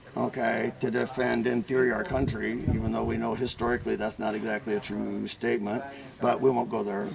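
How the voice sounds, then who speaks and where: A man with a medium pitch and ordinary pitch variation speaks very fast, with noticeable background noise present. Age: 70s. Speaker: weapons instructor. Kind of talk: interview. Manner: casual, filler-heavy.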